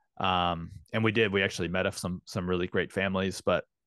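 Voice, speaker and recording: A man with an American accent, very deep and low-pitched, monotone and flat, in a dry, close sound with no echo and a quiet background. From St. Louis, Missouri, US Midwest. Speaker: men's coach and food truck owner, former teacher. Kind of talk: casual interview chat.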